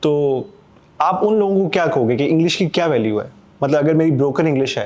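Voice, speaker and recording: A man with an unremarkable speaking voice talks at a moderate pace. His pitch is fairly high, with ordinary variation. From Pakistan. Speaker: podcast host. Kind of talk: casual interview chat.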